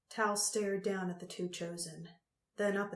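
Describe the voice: Fairly even intonation marks this plain reading aloud. Nothing stirs in the quiet background.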